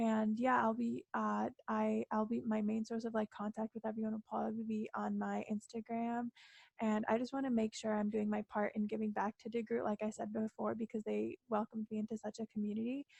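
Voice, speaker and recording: A woman with a fairly high voice speaks at a fairly quick pace in a flat monotone, somewhat breathy, with a dry, close sound and no echo. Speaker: student election candidate. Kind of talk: campaign debate speech.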